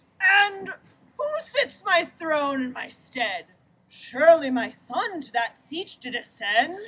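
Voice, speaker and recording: A high-pitched put-on character voice from a woman, delivered at a fairly slow pace. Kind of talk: mock Shakespearean ghost. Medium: stage play. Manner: solemn, commanding.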